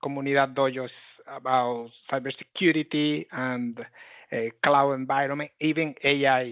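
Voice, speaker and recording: Using a Panamanian accent, a man speaks at a moderate pace in a fairly high, monotone voice with flat intonation. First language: Spanish. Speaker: tech community leader and presenter. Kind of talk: technical presentation. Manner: halting.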